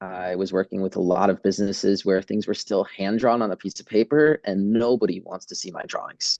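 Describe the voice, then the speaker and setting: A man's fairly low voice with an American accent and a dark, mellow tone, ordinary pitch variation, and a moderate pace, in a dry, close sound with no echo and a quiet background. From Wisconsin, US Midwest. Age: 30s. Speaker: physical therapist and business owner. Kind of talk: lecture. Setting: video call. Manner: halting, many fillers.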